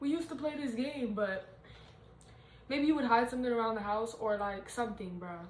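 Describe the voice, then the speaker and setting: Speaking at a fairly quick pace with long, frequent pauses, a woman with a fairly high voice sounds animated and uses lively intonation, with audible room echo and noticeable background noise. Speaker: tarot reader. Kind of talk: casual tarot reading monologue.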